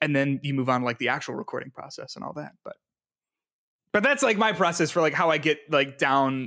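A man talks very fast in a fairly high voice with a bright, sharp tone. The sound is dry and close, with no echo. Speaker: musician and game developer. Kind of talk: casual interview chat. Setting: video call.

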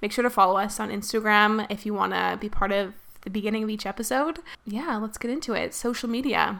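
A woman at a very fast pace, bright and sharp in tone, fairly high-pitched with vocal fry and ordinary pitch variation, on a very clean recording with a silent background. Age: 20s. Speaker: podcast host. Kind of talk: casual chat.

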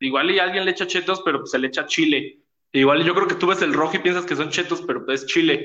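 A man talks at a very fast pace with a high pitch. His intonation stays fairly even. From Mexico City. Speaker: podcast host. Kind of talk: casual chat.

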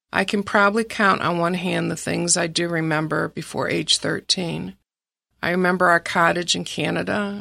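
In a Midwestern American accent, a woman speaks at a moderate pace on a very clean recording with a silent background. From Michigan, Detroit area. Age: 60s. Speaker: graphic designer sharing faith testimony. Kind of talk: testimony. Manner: reading from prepared text.

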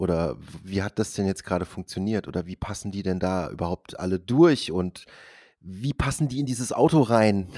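This man's voice sits fairly low with a dark, mellow tone, moving at a moderate pace with ordinary pitch variation in a dry, close sound with no echo and a very clean recording with a silent background. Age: 40s. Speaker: podcast host. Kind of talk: casual chat.

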